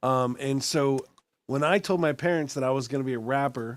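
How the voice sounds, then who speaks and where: Speaking at a moderate pace, a man with an American accent has a fairly high pitch and an unremarkable speaking voice. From Texas, Austin. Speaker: podcast host. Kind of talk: casual chat.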